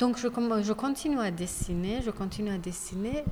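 A woman with a Persian accent and ordinary pitch variation, with audible room echo and noticeable background noise. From Iran, Tehran. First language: Persian (speaking French). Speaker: visual artist. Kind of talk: interview. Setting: exhibition space. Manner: halting, many hesitations.

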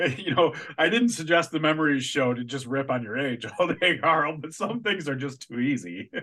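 A man with an American accent has an ordinary speaking voice at a fairly high pitch. He keeps a moderate pace with lively intonation and hardly any pauses. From Chicago area, US Midwest. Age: 40s. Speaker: podcast co-host. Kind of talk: casual chat.

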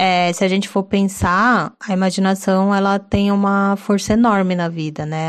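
A woman talks in an ordinary speaking voice at a medium pitch. Her pace is fairly slow against a quiet background. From São Paulo city, Brazil. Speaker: podcast co-host. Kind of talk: casual chat.

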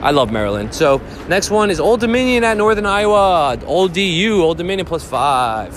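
Over music in the background, a man with a high pitch speaks at a moderate pace with very wide pitch swings. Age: 30s. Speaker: sports betting podcast host. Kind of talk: casual solo podcast talk. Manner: casual, rambling with fillers.

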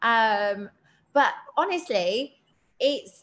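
A woman speaks with an English accent and an animated tone. Her pitch is fairly high. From Britain. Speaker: self-worth coach and mental health advocate. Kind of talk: casual interview chat. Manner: animated, laughs often.

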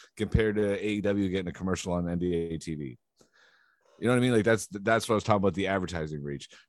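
The speech moves very fast, with ordinary pitch variation. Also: man, very deep, low pitch for a man. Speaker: podcast co-host. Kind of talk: casual chat.

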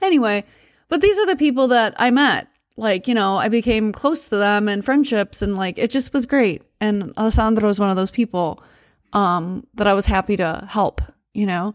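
A woman with a plain, everyday voice speaks in an American accent at a fairly high pitch and a moderate pace. Her pitch variation is ordinary, and the recording is very clean with a silent background. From United States. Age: 40s. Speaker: podcast host, travel storyteller. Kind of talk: solo storytelling monologue. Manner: casual, many fillers and laughs.

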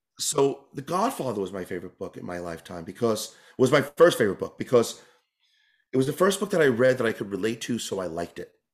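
Talking at a very fast pace in an American accent, a man at a medium pitch makes very wide pitch swings and big swings in loudness on a very clean recording with a silent background. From New York. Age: 40s. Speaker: tap dancer. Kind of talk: interview.

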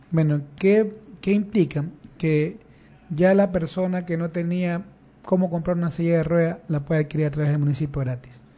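The man's voice has a dark, mellow tone despite its high pitch. He keeps a moderate pace and fairly even intonation. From Guayaquil, Ecuador. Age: young. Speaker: politician. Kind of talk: interview. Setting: radio studio.

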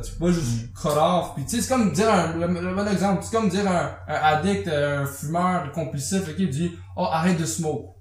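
Amid noticeable background noise and audible room echo, a man with a fairly high pitch uses lively intonation. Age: 20s. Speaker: podcast co-host. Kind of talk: casual chat.

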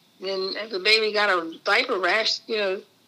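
Noticeable background noise sits under this woman's American accent. Her pitch is fairly high, and her pace is moderate. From Maryland Eastern Shore (Easton), US. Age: 80s+. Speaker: grandmother sharing life story. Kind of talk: interview. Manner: halting.

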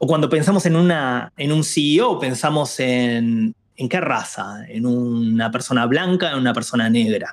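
A man talks in a normal speaking voice with a medium pitch and ordinary pitch variation. He keeps a fairly slow pace and very even loudness. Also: hardly any pauses. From Argentina, Buenos Aires. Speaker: diversity and inclusion lead. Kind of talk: interview conversation.

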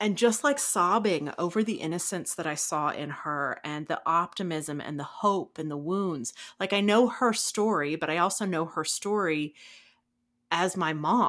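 A woman with an American accent speaks in a normal speaking voice, fairly low in pitch with ordinary pitch variation. She goes at a fairly slow pace, and the recording is very clean with a silent background. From US South. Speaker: podcast host. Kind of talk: guided meditation; casual chat.

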